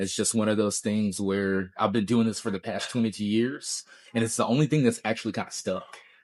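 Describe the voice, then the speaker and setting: A man with a plain, everyday voice talks at a fairly quick pace with a fairly low pitch and fairly even intonation. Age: 40s. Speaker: guitarist. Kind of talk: casual interview.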